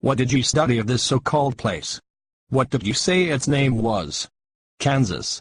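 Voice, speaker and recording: A growling, put-on character voice moves at a moderate pace with very even loudness, recorded in a dry, close sound with no echo. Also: man, medium pitch for a man. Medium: short film. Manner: pedantic, condescending.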